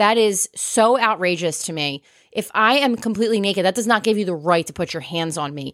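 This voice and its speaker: A woman's animated, lively delivery with a New Jersey accent at a fairly quick pace, in a dry, close sound with no echo. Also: very clean recording, silent background. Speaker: podcast co-host. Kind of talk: casual chat.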